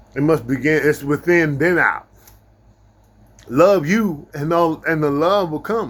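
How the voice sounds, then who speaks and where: Speaking at a fairly slow pace, a man with a fairly high voice sounds animated, and his pitch varies in an ordinary way. He leaves long, frequent pauses. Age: 50s. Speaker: self-help vlogger. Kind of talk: casual monologue to camera. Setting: small rented room, live stream.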